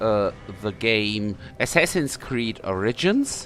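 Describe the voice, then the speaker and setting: A man with a German accent speaks very slowly, his pitch swinging very widely. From Germany. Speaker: gaming YouTuber. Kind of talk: game tutorial. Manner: halting, many fillers.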